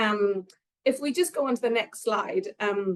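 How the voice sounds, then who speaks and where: A woman with an Irish accent at a moderate pace. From Ireland, Cork. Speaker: nursing researcher. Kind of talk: conference presentation.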